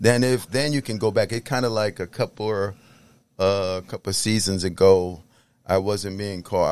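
An unremarkable speaking voice in an American accent, at a moderate pace with ordinary pitch variation. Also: man. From New York City, the Bronx. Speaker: minister and clinical counselor. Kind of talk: podcast interview.

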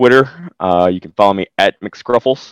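With a strong Southern US accent, a man speaks at a moderate pace and fairly low pitch, using ordinary pitch variation, in a very clean, dry, close recording with no echo and a silent background. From US South. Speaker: podcast voice actor. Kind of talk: casual interview chat.

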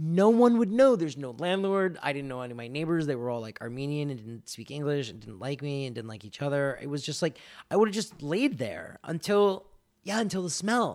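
In a very clean recording with a silent background, a man with an American accent talks at a fairly quick pace and a fairly high pitch. His pitch swings very widely, and his loudness shifts a lot. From Florida. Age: 30s. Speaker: comic book writer. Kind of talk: casual chat.

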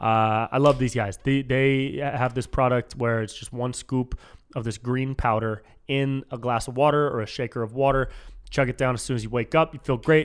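An animated tone comes through in an American accent. The pace is moderate. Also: man. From Northern California, US. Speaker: podcast host and comedian. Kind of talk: casual chat.

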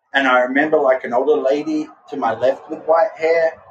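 A man talks at a moderate pace with an Australian accent. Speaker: artist and former drummer. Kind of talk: interview, personal story. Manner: casual, animated.

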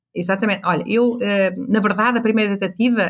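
A woman with a fairly high pitch talks at a fairly quick pace, her pitch varying in an ordinary way. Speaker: business coach. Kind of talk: interview. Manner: animated.

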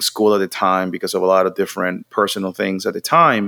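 A man speaks in a Puerto Rican accent. His pace is moderate. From Puerto Rico, Mayagüez. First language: Spanish. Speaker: creative strategist, marketing entrepreneur. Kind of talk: interview.

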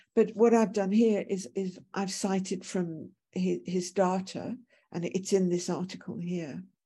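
A woman with a medium pitch and a dark, mellow tone sounds somewhat breathy, speaking at a fairly slow pace with fairly even intonation. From Britain. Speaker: professor. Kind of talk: lecture. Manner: halting.

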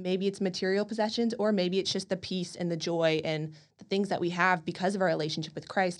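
Speaking in an American accent with a normal speaking voice, a woman of medium pitch keeps a fairly quick pace and fairly even intonation, with hardly any pauses over a quiet background. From College Station, Texas. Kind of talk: casual faith discussion.

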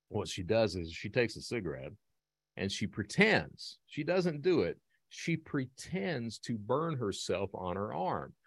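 Vocal fry marks a man's medium-pitched voice. He goes at a fairly slow pace with very wide pitch swings. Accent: American. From Eastern Kentucky, US. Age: 50s. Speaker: reformed cybercriminal turned security speaker. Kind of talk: interview. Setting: video call.

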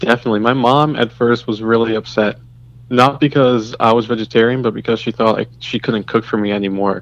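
A man with an unremarkable speaking voice talks at a fairly quick pace, with medium pitch and fairly even intonation. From US, Trinidadian immigrant household. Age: 20s. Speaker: medical laboratory scientist. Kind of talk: casual interview chat.

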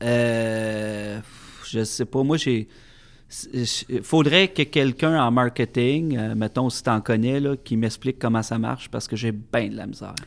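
Speaking very slowly, a man keeps a mid-range pitch that rises and falls in a normal way. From Quebec, Centre-du-Québec (Plessisville). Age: 30s. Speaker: master sommelier. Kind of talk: casual interview. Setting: studio.

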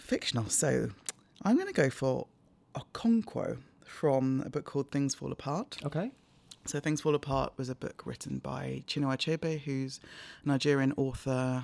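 On a very clean recording with a silent background, a woman with a London accent speaks at a moderate pace. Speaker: charity media lead and broadcaster. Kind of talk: interview.

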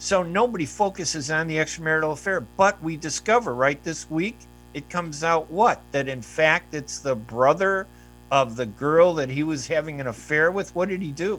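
A man with an American accent and a normal speaking voice, fairly high in pitch, at a moderate pace with ordinary pitch variation. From US, Palestinian heritage. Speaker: radio host and journalist. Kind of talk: radio interview. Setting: radio studio streamed on Facebook video.

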